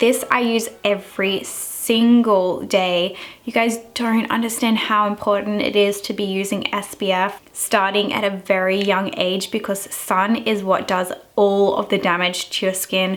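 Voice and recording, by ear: This woman's medium-pitched voice moves little in pitch as she talks at a fairly slow pace with few pauses.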